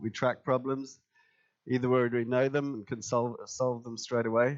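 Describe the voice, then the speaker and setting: Over a quiet background, a man with an English accent speaks in a flat monotone. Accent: English-accented English learned in England. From Germany, Tübingen; Germany. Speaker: IT company co-founder; conference presenter. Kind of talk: conference presentation. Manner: many fillers, hesitant. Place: meeting room.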